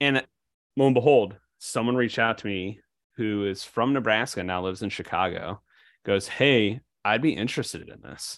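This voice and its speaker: A man with an American accent and a normal speaking voice, fairly low pitch, ordinary pitch variation, big swings in loudness and a moderate pace. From Illinois. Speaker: bankruptcy attorney. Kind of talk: casual chat. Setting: video call.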